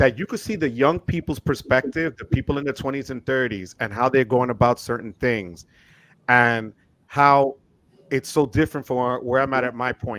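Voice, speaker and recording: An unremarkable speaking voice with ordinary pitch variation comes through with a dry, close sound and no echo. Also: man, medium pitch for a man, moderate pace. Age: 50s. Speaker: credit card YouTuber. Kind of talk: casual chat.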